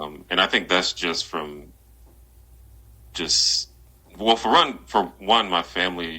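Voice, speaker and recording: With an American accent, a man talks at a very slow pace in a very deep, low voice, his bright, sharp tone showing ordinary pitch variation amid long, frequent pauses. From Alabama (Birmingham). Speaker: YouTuber, social commentary. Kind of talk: interview conversation. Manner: clear, confident speaking.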